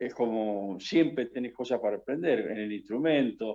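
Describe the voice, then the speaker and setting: Speaking at a moderate pace, a man holds a medium pitch with ordinary pitch variation. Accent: Rioplatense. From Argentina, Buenos Aires area. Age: 60s. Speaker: guitarist. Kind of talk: radio interview.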